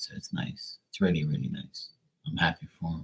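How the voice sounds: A man speaks at a low pitch with a slightly husky edge. His intonation is fairly even and his pace moderate.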